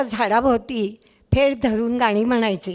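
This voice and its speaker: On a very clean recording against a silent background, a woman's pitch varies in an ordinary way. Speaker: writer and teacher, chief guest presiding at a book launch. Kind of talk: formal speech. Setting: stage with audience. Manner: speaking loudly to be heard.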